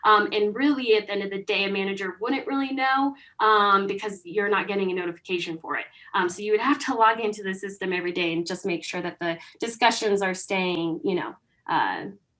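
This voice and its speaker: Moving at a fairly quick pace, a woman speaks in a medium pitch with a bright, sharp tone and ordinary pitch variation. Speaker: software demo presenter. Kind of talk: product demo. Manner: fast.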